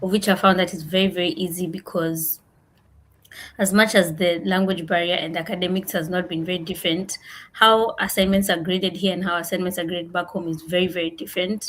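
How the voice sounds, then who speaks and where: Recorded very cleanly against a silent background, a woman speaks at a fairly quick pace in a somewhat breathy, medium-pitched voice with monotone, flat intonation. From Kenya. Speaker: international master's student. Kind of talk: panel discussion.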